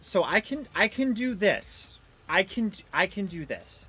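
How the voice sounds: With music in the background, the man talks in a raised, projected voice.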